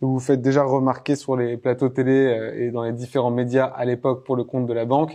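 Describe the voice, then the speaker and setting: A dark, mellow male voice at medium pitch, fairly quick in pace, with monotone, flat intonation. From France. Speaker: podcast host, startup cofounder. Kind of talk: interview. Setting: bank office in Paris.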